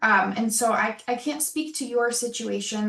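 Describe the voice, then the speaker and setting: With audible room echo, a woman speaks at a fairly slow pace in a fairly high pitch. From Rochester, New York. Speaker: program director presenting open house. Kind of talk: online open house Q&A.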